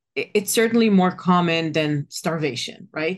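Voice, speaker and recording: A woman's very deep, low voice at a fairly quick pace against a quiet background. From Israel. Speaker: business operations consultant. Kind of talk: interview.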